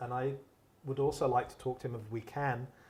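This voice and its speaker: Audible room echo surrounds a man of medium pitch who speaks at a moderate pace with fairly even intonation. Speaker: moderator and newspaper editor. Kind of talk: moderated public conversation. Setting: public event hall with microphone and audience. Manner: loud.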